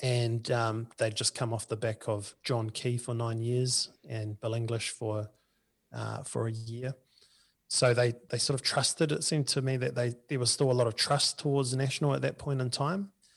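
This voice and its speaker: With a New Zealand accent, a man speaks at medium pitch and a moderate pace, somewhat breathy, with fairly even intonation. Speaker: union political organizer. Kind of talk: interview. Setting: remote call.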